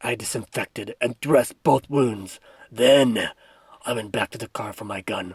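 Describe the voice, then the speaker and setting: A man puts on a raspy character voice at a medium pitch, with ordinary pitch variation, a moderate pace and a dry, close sound with no echo. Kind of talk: dramatic story reading. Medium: solo performance.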